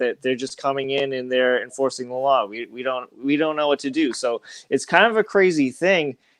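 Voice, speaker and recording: Using a plain, everyday voice, a man talks at a moderate pace and a medium pitch. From Boston area, Massachusetts. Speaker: YouTuber, comics channel guest. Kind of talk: casual panel chat.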